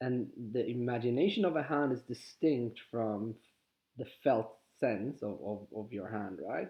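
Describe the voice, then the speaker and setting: A man with a Swedish accent speaks at a fairly slow pace. His pitch is medium with ordinary variation. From Sweden. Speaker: spiritual teacher. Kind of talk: guided exercise talk. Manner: halting.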